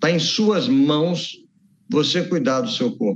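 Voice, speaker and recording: This man has a high voice with lively intonation. He talks at a fairly slow pace. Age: 60s. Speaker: doctor and author. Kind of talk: interview.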